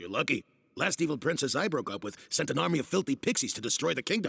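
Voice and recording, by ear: Putting on a cartoonish character voice, a man talks at a very fast pace with a fairly high pitch and very wide pitch swings.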